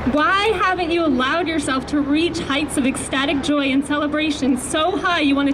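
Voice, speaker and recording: A woman with an American accent speaks at a high pitch, with ordinary pitch variation. Audible room echo and noticeable background noise are present. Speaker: mental health activist. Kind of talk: rally speech. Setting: outdoors at a rally with microphone.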